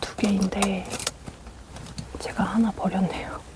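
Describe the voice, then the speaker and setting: The talking goes at a very slow pace, with noticeable background noise. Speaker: ASMR creator. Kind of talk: ASMR whispered talking, makeup brush explanation. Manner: whispered, soft-spoken, slow.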